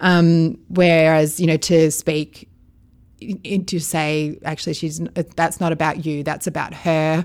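The speaker has an Australian accent and a monotone, flat intonation, talking at a very slow pace on a very clean recording with a silent background. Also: woman, very deep, low pitch for a woman. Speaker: foster carer. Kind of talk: interview.

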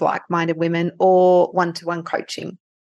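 Against a quiet background, a woman with an Australian accent speaks at a moderate pace in a fairly low voice. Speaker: nurse and life coach. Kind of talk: interview testimony. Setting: remote call.

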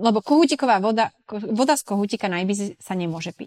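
Here is a woman with an ordinary speaking voice at a medium pitch. She keeps a moderate pace. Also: dry, close sound with no echo. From Slovakia, Sklabiňa (Turiec region). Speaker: expat working in Ibiza tourism and events. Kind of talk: casual interview. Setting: remote recording from Mallorca.

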